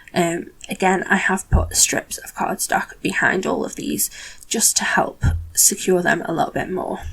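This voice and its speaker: Whispering at a fairly slow pace, a woman makes big swings in loudness. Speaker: card-making crafter. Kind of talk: tutorial voiceover. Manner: animated.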